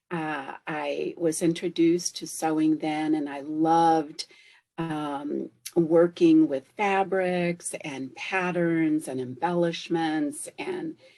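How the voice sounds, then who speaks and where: A woman speaks very slowly at a fairly low pitch in a dark, mellow tone. Her intonation stays flat and monotone while her loudness swings widely. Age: 70s. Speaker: fashion designer. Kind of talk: interview. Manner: halting, many fillers.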